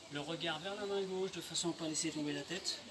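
Against noticeable background noise, a man speaks fairly quickly in a high voice with fairly even intonation. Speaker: fitness instructor. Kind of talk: exercise class instruction. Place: garden. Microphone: camera far.

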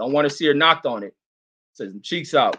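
A man talks at a fairly high pitch. The background is quiet. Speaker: boxing fan streamer and commentator. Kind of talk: live watch-along commentary. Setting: livestream reacting to chat comments. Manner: loud, profane, excitable, animated. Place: home room.

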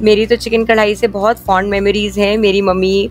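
A woman's monotone, flat voice, dry with no echo, over faint music in the background. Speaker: lifestyle vlogger. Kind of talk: casual vlog chat.

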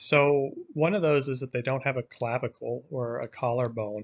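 The background is quiet. A man does the speaking. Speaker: course instructor. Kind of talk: lecture. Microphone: webcam.

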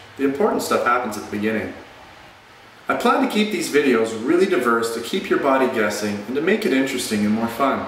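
Audible room echo and light background noise frame a man speaking at a fairly quick pace, his fairly high pitch swinging very widely. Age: 40s. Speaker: fitness vlogger. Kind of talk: channel intro monologue. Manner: casual. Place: gym. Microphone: phone near.

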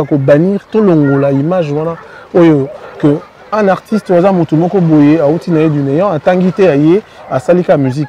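With crowd noise in the background, a man talks in a fairly high voice, and the sound is dry with no echo. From DR Congo. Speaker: singer; guest. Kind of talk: interview. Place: street.

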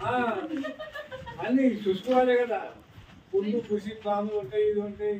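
A high-pitched man's voice with audible room echo and light background noise. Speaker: local elder explaining fort history. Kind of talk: explaining local history to visitors. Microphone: camera far.

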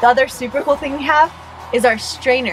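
With music in the background, a woman talks at a high pitch. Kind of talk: casual vlog chat. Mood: cheerful, playful. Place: home room. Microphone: camera far.

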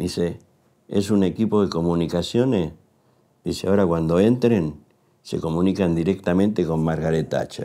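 A man's very deep, low voice with a dark, mellow tone, moderate pace, ordinary pitch variation and long, frequent pauses, against a quiet background. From Buenos Aires, Argentina; Argentina. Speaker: war correspondent and photojournalist; war correspondent, photojournalist. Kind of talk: testimony interview. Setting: university. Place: studio.

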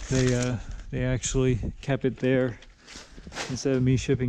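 A man's dark, mellow voice at a moderate pace, with light background noise. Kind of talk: casual vlog chat. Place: garage. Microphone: phone near.

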